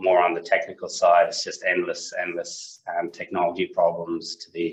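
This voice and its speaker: Speaking at a moderate pace, a man talks with an Irish accent. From Ireland. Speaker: market maker, finance partner. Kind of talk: interview. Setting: video call.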